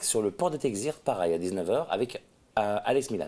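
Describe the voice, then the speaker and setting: This man talks at a fairly quick pace in a fairly low, dark, mellow voice, his pitch swinging very widely. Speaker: festival organizer. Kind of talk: interview. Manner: fast.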